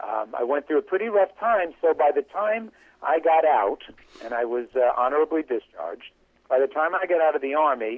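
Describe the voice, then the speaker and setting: Lively intonation marks this man's fairly high pitch, delivered in an ordinary speaking voice. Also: fairly quick pace. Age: 60s. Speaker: yoga teacher. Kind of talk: interview.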